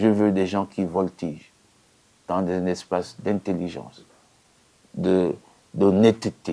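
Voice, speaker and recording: Very deep and low in pitch, a man speaks at a fairly slow pace with monotone, flat intonation and a dark, mellow tone. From Gabon. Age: 60s. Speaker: politician. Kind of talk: interview. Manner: emphatic.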